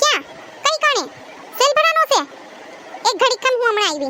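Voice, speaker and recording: Over light background noise, a woman performs a squeaky, cartoonish character voice at an extremely high pitch, with very wide pitch swings and a moderate pace. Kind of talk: comic overacting. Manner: nagging, talkative.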